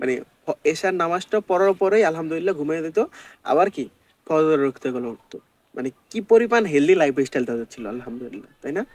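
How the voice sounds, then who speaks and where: A man with a plain, everyday voice speaks at a fairly high pitch with lively intonation, the sound dry and close with no echo. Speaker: vlogger. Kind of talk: casual talk to camera.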